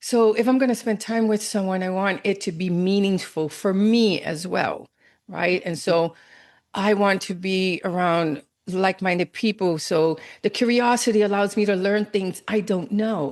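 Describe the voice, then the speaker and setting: In a normal speaking voice, a woman talks at a moderate pace with medium pitch and fairly even intonation against a quiet background. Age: 60s. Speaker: cancer coach and speaker. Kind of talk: interview.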